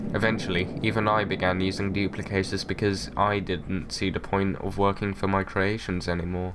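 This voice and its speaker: A man with a fairly low pitch talks at a fairly quick pace with hardly any pauses. His intonation is monotone and flat, over noticeable background noise. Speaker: gaming YouTuber. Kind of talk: documentary-style retrospective narration.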